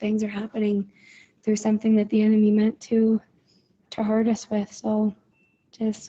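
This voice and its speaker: A woman's mumbling, somewhat breathy voice, fairly high in pitch, dark and mellow in tone, with monotone, flat intonation. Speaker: accident survivor sharing prayer update. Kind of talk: voice message to prayer group. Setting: voice message app.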